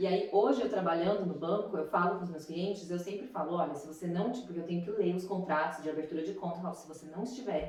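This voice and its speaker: Audible room echo surrounds the fairly low-pitched voice of this woman. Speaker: podcast host. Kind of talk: casual interview chat. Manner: talkative, fast.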